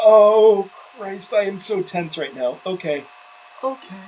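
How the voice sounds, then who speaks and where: Lively intonation marks this man's speech, heard against noticeable background noise. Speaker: gaming video creator. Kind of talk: gameplay commentary. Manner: animated.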